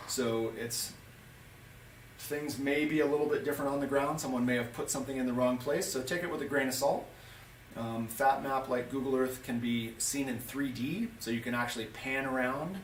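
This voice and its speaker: There is audible room echo and noticeable background noise as a man speaks at a medium pitch with fairly even intonation. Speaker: ski guide. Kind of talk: tutorial. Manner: fast.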